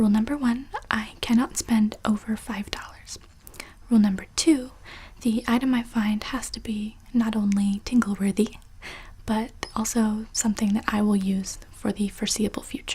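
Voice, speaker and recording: This woman's voice is dark and mellow in tone, somewhat breathy, fairly high in pitch and fairly even in intonation. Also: moderate pace. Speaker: ASMR creator. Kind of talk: casual talk to camera. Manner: soft-spoken, whispered.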